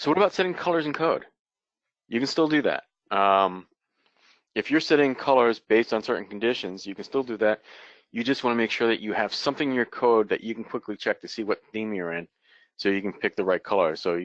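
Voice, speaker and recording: A man at a very fast pace with an American accent and lively intonation, the sound dry and close with no echo over a quiet background. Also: medium pitch for a man. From New York. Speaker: software developer presenter. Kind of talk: technical presentation.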